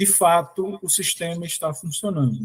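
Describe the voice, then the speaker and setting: A man's voice sits high in pitch, with ordinary pitch variation. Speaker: lecturer on public education finance. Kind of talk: lecture.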